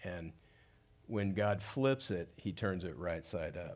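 With an American accent, a man talks in a fairly low pitch. His pace is fairly slow. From Southern California (South Gate, Los Angeles area). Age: 60s. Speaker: pastor. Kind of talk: sermon. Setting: church stage with audience.

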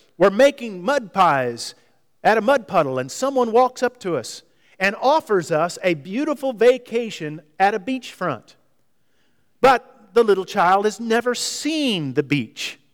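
The man's voice is high and swings very widely in pitch. He talks at a fairly slow pace. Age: 50s. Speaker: visiting preacher. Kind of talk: sermon. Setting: church.

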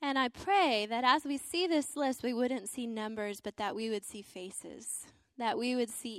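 An ordinary speaking voice from a woman, fairly high-pitched, with ordinary pitch variation, an American accent and a fairly slow pace, on a very clean recording with a silent background. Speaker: missionary Bible translator. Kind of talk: sermon. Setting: church.

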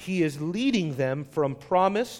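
Lively intonation from a male speaker. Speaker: pastor. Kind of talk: sermon. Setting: church. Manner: loud.

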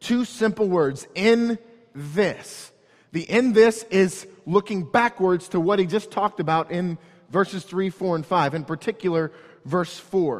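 With an American accent, a man speaks at a fairly slow pace in a high pitch with ordinary pitch variation. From St. Louis area, Missouri (North County). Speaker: pastor. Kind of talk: sermon.

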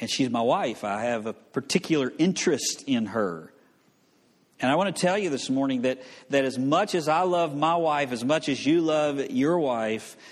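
A man with a Southern US accent, a fairly high pitch, lively intonation and a fairly slow pace, over a quiet background. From US South. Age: 40s. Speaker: pastor. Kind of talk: sermon. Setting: church.

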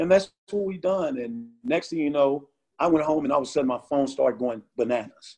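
A man with an ordinary speaking voice, fairly high pitch, ordinary pitch variation and a fairly quick pace. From Chicago and Phoenix. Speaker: community outreach worker. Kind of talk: testimony.

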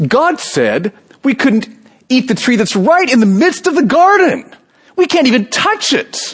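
A whiny, high-pitched put-on character voice moves at a moderate pace. Its pitch swings very widely. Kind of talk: complaining, childlike. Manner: whining.

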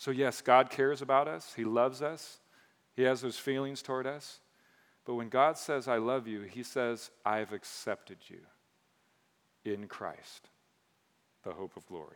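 In a very clean recording with a silent background, a man with a slight Michigan accent speaks fairly slowly at a medium pitch, with ordinary pitch variation, big swings in loudness, and long, frequent pauses. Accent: slightly Northern (Michigan). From mixed: Michigan, Texas, Caribbean, Mississippi. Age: 40s. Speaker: pastor. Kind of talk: sermon. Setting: church stage with congregation. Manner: animated.

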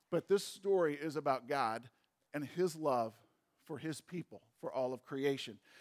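A man's ordinary speaking voice, fairly high-pitched, at a moderate pace with ordinary pitch variation, in a dry, close sound with no echo. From US Midwest, St. Louis. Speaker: pastor. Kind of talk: sermon.

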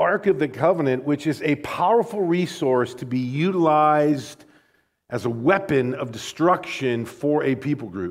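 A man with an American accent has a plain, everyday voice at a fairly high pitch. His intonation is lively, and the recording is very clean with a silent background. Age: 40s. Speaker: pastor. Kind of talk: sermon. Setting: church.

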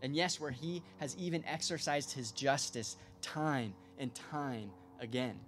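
Lively intonation colors a man's plain, everyday voice at a medium pitch. His pace is fairly slow. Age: 20s. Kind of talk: sermon.

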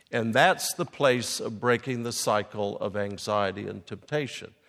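Lively intonation in a man's medium-pitched voice. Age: 60s. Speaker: guest speaker and teacher, English professor. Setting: in a room with a live audience.

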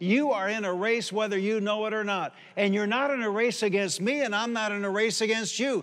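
This man has a high-pitched voice, talks with fairly even intonation, and leaves hardly any pauses. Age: 60s. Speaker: pastor. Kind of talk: sermon. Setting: church.

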